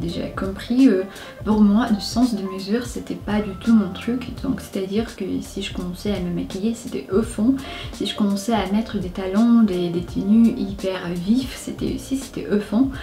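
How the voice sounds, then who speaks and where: With music in the background and audible room echo, a woman speaks at a medium pitch and a fairly slow pace, her pitch varying in an ordinary way. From Siberia, Russia. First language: Russian (speaking French). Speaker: lifestyle vlogger. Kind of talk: casual chat. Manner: halting, many filler sounds.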